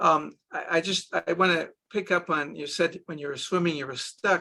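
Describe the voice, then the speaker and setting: Speaking in an Israeli accent, a man with a high pitch and a bright, sharp tone keeps a moderate pace and fairly even intonation. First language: Hebrew. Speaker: doctor using hypnosis with children. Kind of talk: interview.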